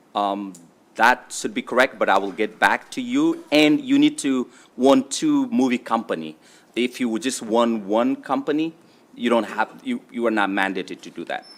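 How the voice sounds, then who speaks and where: A man with a non-native accent, talking at a moderate pace. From immigrant to US. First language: not English. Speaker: state delegate presenting bill. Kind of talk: legislative testimony. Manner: halting, many fillers.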